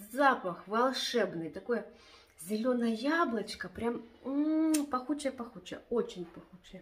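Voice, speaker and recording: A woman speaks at a very slow pace. There is light background noise. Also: lively intonation. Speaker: home vlogger. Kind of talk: casual vlog chat. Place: home room. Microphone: phone near.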